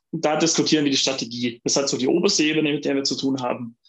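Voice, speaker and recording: A man talks with an unremarkable speaking voice and a fairly high pitch. His pitch variation is ordinary. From Allgäu, southern Germany. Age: 40s. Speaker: workplace health manager and lecturer. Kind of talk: interview. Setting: video call.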